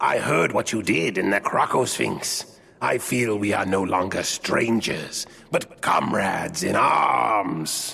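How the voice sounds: Doing a put-on character voice, a man speaks slowly at a fairly low pitch, with lively intonation, a bright, sharp tone, a slightly husky edge and vocal fry. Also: few pauses.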